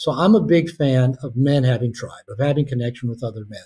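Somewhat breathy and fairly high, a man's voice with an American accent moves at a fairly quick pace with ordinary pitch variation. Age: 60s. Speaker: author and therapist. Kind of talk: interview conversation.

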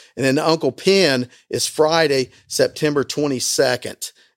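A man with an American accent and a normal speaking voice speaks at a fairly slow pace with ordinary pitch variation, in a dry, close sound with no echo. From southern Indiana, Bean Blossom. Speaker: bluegrass park and museum owner. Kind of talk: interview. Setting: in a museum.

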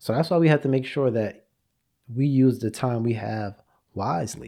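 At a moderate pace, a man speaks with a dark, mellow tone and ordinary pitch variation over a quiet background. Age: 30s. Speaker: podcast host. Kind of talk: solo monologue. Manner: conversational.

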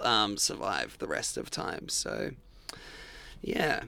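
A man speaks at a very slow pace with an Australian accent. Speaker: punk band singer. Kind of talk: casual interview chat. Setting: band van. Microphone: sound distorted in places.

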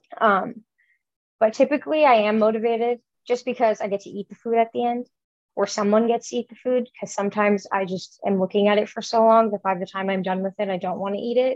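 A woman with an American accent, fairly high-pitched, talking very fast with ordinary pitch variation, in a dry, close sound with no echo. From Chicago area, US. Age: 20s. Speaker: food content creator. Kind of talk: casual interview.

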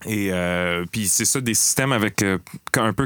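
There is noticeable background noise behind a man with a fairly low pitch. He talks at a fairly slow pace, and his intonation stays fairly even. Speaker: podcast host. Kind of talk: casual chat. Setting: studio.

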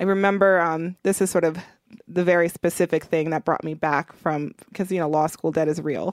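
With a plain, everyday voice, a woman speaks at a fairly low pitch and a moderate pace in an American accent, her intonation fairly even and the sound dry and close with no echo. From Milwaukee, Wisconsin. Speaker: racial and economic justice organizer. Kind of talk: interview.

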